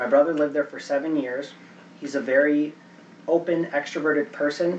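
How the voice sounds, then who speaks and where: Over noticeable background noise, a man talks at a fairly quick pace with a fairly high pitch, fairly even intonation, and big swings in loudness. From Chicago, US (moved from Venezuela as a child). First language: Spanish. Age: 30s. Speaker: seminar speaker. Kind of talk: Q&A after a talk.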